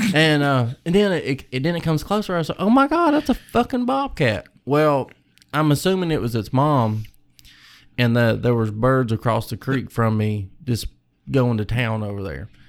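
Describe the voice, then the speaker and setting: A man with a Kentucky accent, medium pitch and lively intonation at a moderate pace, in a very clean recording with a silent background. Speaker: hunter. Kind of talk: casual chat.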